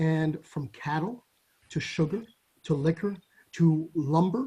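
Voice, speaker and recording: With a French accent, a man speaks at a fairly slow pace in a fairly high voice with a dark, mellow tone and ordinary pitch variation. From Caribbean, Saint Barthélemy. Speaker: judge. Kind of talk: interview.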